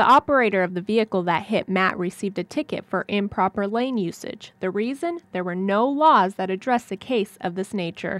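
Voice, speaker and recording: A woman speaks at a fairly quick pace with hardly any pauses, in a normal speaking voice at medium pitch and with lively intonation. The recording is very clean, with a silent background and a dry, close sound with no echo. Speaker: broadcast journalist, TV news reporter. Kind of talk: TV news reporting, stand-ups and voiceover packages.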